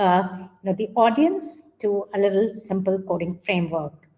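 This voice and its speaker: A woman with an Indian accent, somewhat breathy, at a moderate pace. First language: Hindi. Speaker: coding educator, workshop leader; coding educator. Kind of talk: online workshop instruction. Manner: hesitant, many fillers. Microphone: webcam.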